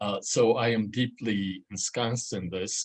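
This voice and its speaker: An ordinary speaking voice comes through at a fairly slow pace with fairly even intonation. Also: man. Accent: American. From US Midwest, Chicago. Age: 60s. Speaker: journalist, featured panel speaker. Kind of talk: panel talk, personal account. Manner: conversational with frequent fillers.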